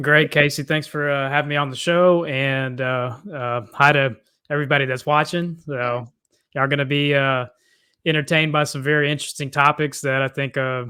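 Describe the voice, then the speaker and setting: A man's fairly high, bright and sharp voice, in a monotone with flat intonation, at a moderate pace. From Texas, Cajun family from South Louisiana. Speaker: faith-based life coach. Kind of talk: podcast interview. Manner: hesitant, many fillers.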